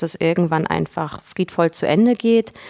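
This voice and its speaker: The woman's pitch is fairly low, with ordinary variation. Her sound is dry and close, with no echo. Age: 30s. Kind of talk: interview. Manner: halting, many fillers.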